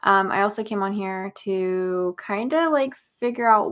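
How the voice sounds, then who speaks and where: With an American accent, a soft-spoken woman talks at a medium pitch on a very clean recording with a silent background. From US South (Arkansas and Tennessee). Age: 20s. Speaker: YouTuber. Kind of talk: casual livestream chat. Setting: home office.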